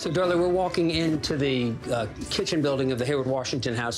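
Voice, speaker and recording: A man talks very fast, and music can be heard in the background. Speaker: museum historian guide. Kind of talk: interview answer. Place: hall.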